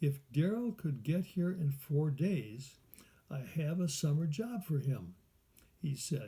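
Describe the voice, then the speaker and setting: Speaking at a very slow pace, a man with an American accent has a fairly high pitch, a dark, mellow tone and a somewhat breathy quality. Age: 80s+. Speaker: adult student writer. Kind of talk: reading aloud own writing. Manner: halting.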